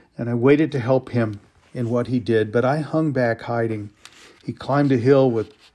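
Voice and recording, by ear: A natural voice reads the text aloud. Nothing sounds put on in the reading.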